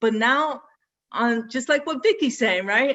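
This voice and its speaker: A woman speaks with a Brooklyn accent and lively intonation. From Brooklyn, New York, Puerto Rican family. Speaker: athletic director. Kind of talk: panel discussion. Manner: casual, mixes in Spanish.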